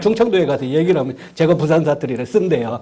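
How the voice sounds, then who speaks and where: There is audible room echo along with noticeable background noise. A man speaks through it at a fairly quick pace. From Korea, Chungcheong (Nonsan). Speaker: university professor. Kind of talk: lecture. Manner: hesitant, many fillers.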